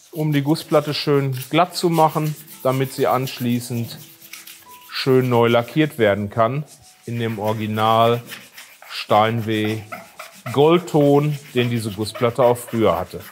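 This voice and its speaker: A man speaking very slowly with long, frequent pauses and ordinary pitch variation, faint music in the background. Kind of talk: casual walkthrough commentary. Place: workshop. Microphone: lapel.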